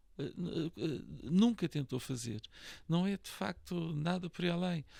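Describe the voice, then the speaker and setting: On a very clean recording with a silent background, a man talks in a high pitch with a dark, mellow tone and lively intonation. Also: fairly slow pace. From Portugal, Lisbon. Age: 60s. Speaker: real estate association president and broker. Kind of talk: podcast interview. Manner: hesitant, many fillers and repetitions.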